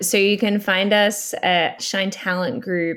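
Fairly slow speech from a woman, medium in pitch. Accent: Australian. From Australia. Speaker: talent agency founder. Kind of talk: podcast interview.

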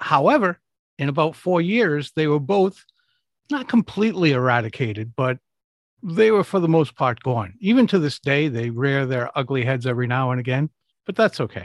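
Recorded dry and close with no echo and a quiet background, a man with a fairly high pitch talks at a moderate pace with very wide pitch swings. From US, Rhode Island (Providence). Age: 60s. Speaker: public speaking coach. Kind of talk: interview.

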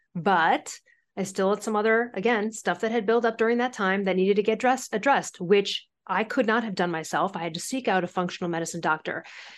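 Against a quiet background, a woman talks in a plain, everyday voice at medium pitch with ordinary pitch variation. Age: 40s. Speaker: author and thyroid health expert. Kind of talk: interview.

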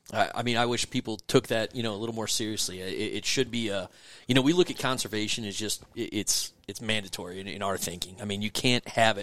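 In a very clean recording with a silent background, a man with a fairly low pitch talks at a very fast pace with hardly any pauses and ordinary pitch variation. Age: 40s. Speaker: regional director of a waterfowl conservation group. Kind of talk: casual interview chat.

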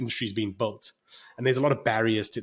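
A man speaks in a South African accent at medium pitch. His pitch varies in an ordinary way. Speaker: financial consultant. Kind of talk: podcast interview.

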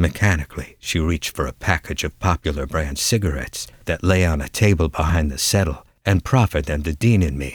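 A dramatic tone with vocal fry and ordinary pitch variation at a fairly quick pace, dry and close with no echo, on a very clean recording with a silent background. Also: man. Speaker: audiobook narrator. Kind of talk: dramatic narration of a detective story, first person. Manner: measured, dramatic, hard-boiled storytelling.

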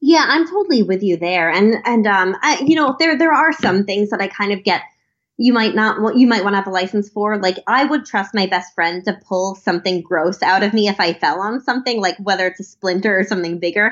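A woman speaks at medium pitch with an unremarkable speaking voice. Her intonation is lively, her pace fairly quick, with hardly any pauses. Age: 20s. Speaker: think tank policy fellow. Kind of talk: interview.

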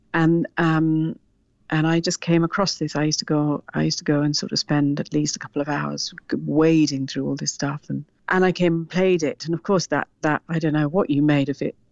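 At a fairly quick pace, a woman speaks with a very deep, low pitch and fairly even intonation. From Sri Lanka. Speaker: actor. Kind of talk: casual interview chat. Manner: halting, many repetitions.

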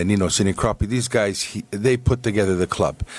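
A man speaks in a plain, everyday voice. His pace is moderate. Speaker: soccer club chairman. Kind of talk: casual chat. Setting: studio.

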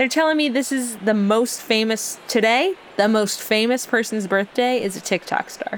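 Speech comes at a moderate pace with hardly any pauses. There is noticeable background noise. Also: woman, fairly high pitch for a woman, ordinary pitch variation. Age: 30s. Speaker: writer and comedic podcast co-host. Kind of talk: casual chat. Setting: on location at a medieval dinner show.

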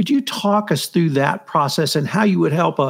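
A man with an American accent talks in a normal speaking voice at a moderate pace, with ordinary pitch variation. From US, military family. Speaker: podcast host. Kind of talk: interview. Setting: video call.

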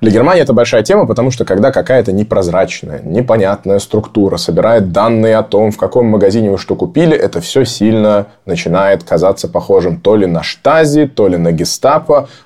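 A man with a dark, mellow tone and a calm tone talks at a fairly low pitch and a fairly quick pace, with lively intonation, hardly any pauses and very even loudness. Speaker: podcast co-host, political scientist. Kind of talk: casual chat. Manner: animated.

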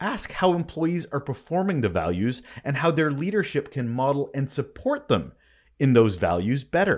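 The recording is very clean, with a silent background. A man speaks in a fairly high voice, his pitch swinging very widely. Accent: Canadian. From Canada. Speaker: podcast host, leadership communications consultant. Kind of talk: solo podcast monologue. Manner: casual, conversational.

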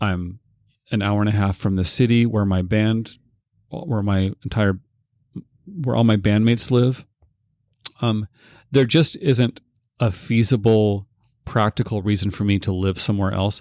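A man with a Pacific Northwest accent and fairly low pitch speaks at a moderate pace with fairly even intonation and long, frequent pauses, in a dry, close sound with no echo. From Ellensburg, Washington. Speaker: rock drummer and record store owner. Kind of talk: casual interview. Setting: recording studio.

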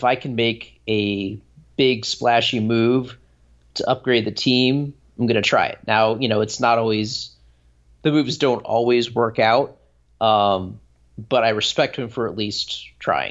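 Speaking at a fairly slow pace in an ordinary speaking voice, a man keeps a medium pitch and fairly even intonation. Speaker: hockey blogger. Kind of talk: casual chat.

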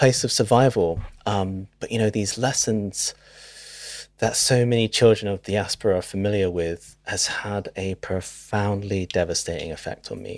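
A man with a British accent talks at a moderate pace in a fairly low pitch, recorded very cleanly against a silent background. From UK, Filipino heritage. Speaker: writer-director. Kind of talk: casual interview chat.

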